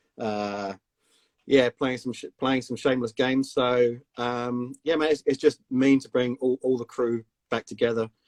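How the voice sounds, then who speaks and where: A man at medium pitch talks at a moderate pace in a monotone, flat intonation, with big swings in loudness. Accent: slight South London. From South London, England. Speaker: company CEO. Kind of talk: casual interview chat. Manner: casual, hesitant with many fillers.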